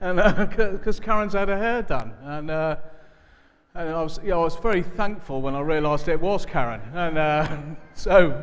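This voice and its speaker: A man with a high voice talks at a fairly quick pace, showing ordinary pitch variation and big swings in loudness. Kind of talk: church announcements. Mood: warm, joking. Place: church.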